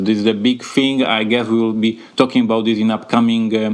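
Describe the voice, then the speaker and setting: A man with a Slavic accent, medium pitch and a fairly quick pace, over noticeable background noise. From Poland. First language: Polish. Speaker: board game publisher, podcast co-host. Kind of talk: casual podcast chat. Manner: hesitant, many fillers.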